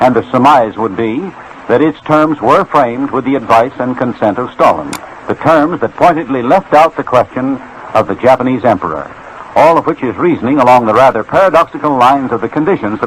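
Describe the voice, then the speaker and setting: A man with an American accent at a fairly quick pace, lively in intonation, over noticeable background noise. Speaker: radio news commentator. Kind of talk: radio news broadcast.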